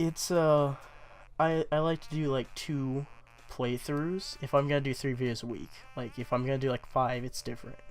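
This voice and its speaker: Music plays in the background as a man talks at a moderate pace. His intonation is fairly even. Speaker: gaming YouTuber. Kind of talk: channel update talk to camera. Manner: halting, many fillers.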